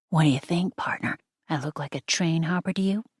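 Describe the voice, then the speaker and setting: In a put-on character voice, the speaker sounds raspy, uses a middle pitch, and moves at a fairly quick pace. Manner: exaggerated, playful.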